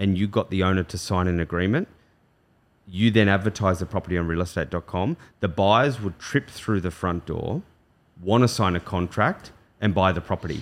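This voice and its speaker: On a very clean recording with a silent background, a man with an Australian accent talks at a moderate pace, his very deep, low pitch showing ordinary variation. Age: 40s. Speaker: real estate agency director. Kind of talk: casual chat.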